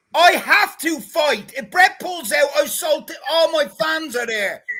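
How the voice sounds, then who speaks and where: A man talks in a raised, projected voice at an extremely high pitch. His pace is fairly slow and his intonation lively. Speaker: amateur boxer. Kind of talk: casual chat. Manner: loud; animated.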